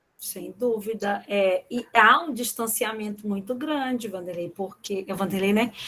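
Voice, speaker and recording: A woman with a fairly high pitch and ordinary pitch variation speaks at a fairly slow pace with hardly any pauses, over noticeable background noise. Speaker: professor. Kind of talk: online lecture.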